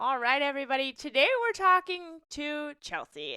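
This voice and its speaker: A woman uses a raised, projected voice with a high pitch and a bright, sharp tone at a moderate pace. The sound is dry and close with no echo, in a very clean recording with a silent background. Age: young. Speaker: podcast co-host. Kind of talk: casual podcast chat.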